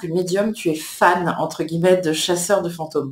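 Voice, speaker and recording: Audible room echo follows a woman as she speaks. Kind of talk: casual vlog chat. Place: home room. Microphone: webcam.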